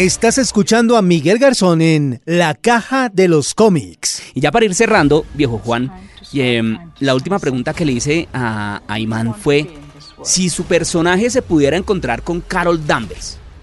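This man's voice sits at a fairly high pitch. His pitch swings very widely. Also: fairly slow pace. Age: 40s. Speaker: podcast host. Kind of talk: casual chat.

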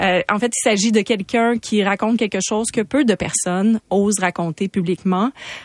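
Music plays in the background while a woman with a fairly high pitch speaks at a fairly quick pace, the sound dry and close with no echo. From Quebec, Saguenay. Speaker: radio host. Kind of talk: radio interview. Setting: studio.

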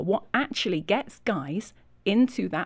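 A woman speaks with a Yorkshire accent. Her pace is fairly slow. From Yorkshire, England. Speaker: ministry leader and author. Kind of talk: interview conversation.

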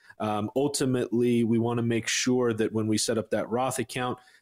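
An ordinary speaking voice from a man, medium in pitch and fairly even in intonation, at a moderate pace, in a very clean recording with a silent background and a dry, close sound with no echo. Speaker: financial advisor. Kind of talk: casual chat.

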